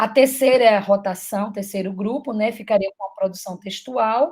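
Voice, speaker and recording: A somewhat breathy woman with fairly high pitch speaks at a moderate pace using lively intonation. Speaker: teacher giving a mentoring session. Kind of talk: online teacher training presentation.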